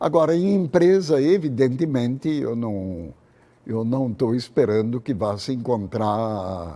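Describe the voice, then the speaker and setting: Moving at a very slow pace, a man with a dark, mellow tone speaks at a medium pitch with very wide pitch swings. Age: 80s+. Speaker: retired physics professor. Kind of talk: interview. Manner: halting.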